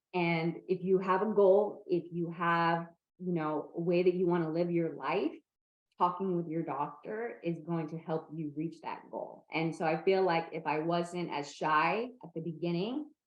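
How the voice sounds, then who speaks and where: At a fairly slow pace, a woman speaks in a plain, everyday voice with fairly low pitch and fairly even intonation. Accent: American. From Northern California. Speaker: person with epilepsy, advocate. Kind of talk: interview conversation.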